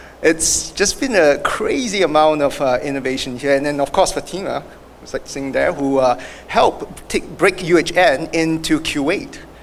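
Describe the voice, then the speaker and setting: A man with a Singaporean accent, fairly high in pitch, ordinary pitch variation, moderate pace, noticeable background noise. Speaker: award winner, health industry professional. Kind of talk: acceptance speech.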